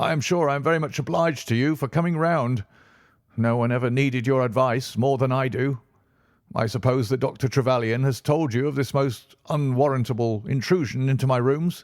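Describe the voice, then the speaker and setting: A man's put-on character voice, medium in pitch and shaky, at a fairly quick pace with ordinary pitch variation and very even loudness. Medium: read story. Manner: nervous, jittery.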